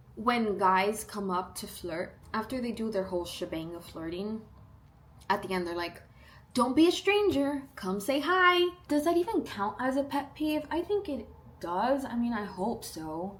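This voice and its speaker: Against noticeable background noise, a woman speaks fairly slowly in a fairly high pitch, her tone animated and her pitch swinging very widely. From South Texas. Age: 20s. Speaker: lifestyle vlogger. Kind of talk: casual Q&A vlog.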